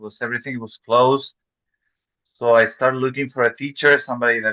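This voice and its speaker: A man with a Chilean Spanish accent speaks at a medium pitch in a bright, sharp tone, with a dry, close sound and no echo. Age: 40s. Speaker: real estate investor. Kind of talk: interview. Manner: halting.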